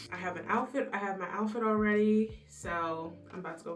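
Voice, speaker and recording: With music in the background and audible room echo, a woman talks at a moderate pace in a medium pitch. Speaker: beauty vlogger. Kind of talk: makeup tutorial vlog. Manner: animated.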